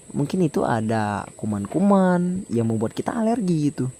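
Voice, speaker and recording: A man with a dark, mellow tone and a medium pitch speaks at a moderate pace, with very wide pitch swings. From South Sumatra, Indonesia. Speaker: travel vlogger. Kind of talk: casual vlog walkthrough. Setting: outdoors by a river. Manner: volume varies, sometimes loud sometimes quiet.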